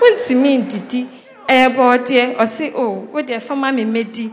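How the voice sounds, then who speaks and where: A woman speaks at a high pitch and a fairly slow pace. Noticeable background noise can be heard. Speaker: church member giving testimony. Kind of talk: personal testimony.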